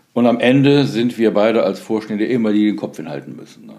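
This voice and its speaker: With a dark, mellow tone at medium pitch, a man speaks with lively intonation and some vocal fry. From Solingen, western Germany. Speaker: nonprofit foundation executive. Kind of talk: interview conversation.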